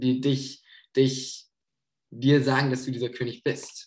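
A man's medium-pitched voice sounds somewhat breathy. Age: 20s. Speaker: theology student, intern preacher. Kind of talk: sermon.

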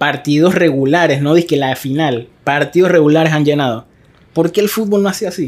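An animated man in a Panamanian accent, fairly high-pitched, with ordinary pitch variation at a moderate pace. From Panama, Arraiján. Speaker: podcast host. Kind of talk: casual chat.

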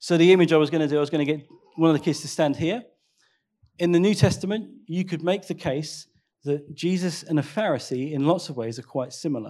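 A man talks at a very fast pace with a fairly high pitch and a dark, mellow tone. His pitch varies in an ordinary way on a very clean recording with a silent background. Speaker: pastor. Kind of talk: sermon. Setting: church.

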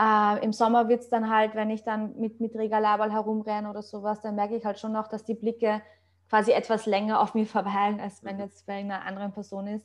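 A woman talks at a fairly quick pace in a fairly high pitch with monotone, flat intonation. Her loudness swings widely. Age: 30s. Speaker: online fitness coach and bodybuilder. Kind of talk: casual interview chat.

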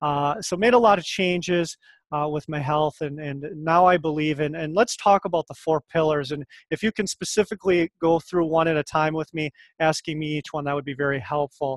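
A man with an American accent speaks at a fairly quick pace in a normal speaking voice, his fairly high pitch showing ordinary variation, recorded with a dry, close sound and no echo. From rural Minnesota, US Midwest. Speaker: fitness professional. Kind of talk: casual interview chat. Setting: video call.

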